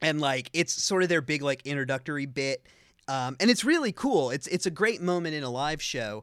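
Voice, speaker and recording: A man with a plain, everyday voice talks at a fairly quick pace and a fairly high pitch, with lively intonation, on a very clean recording with a silent background and a dry, close sound with no echo. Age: 30s. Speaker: podcast co-host. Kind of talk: casual chat.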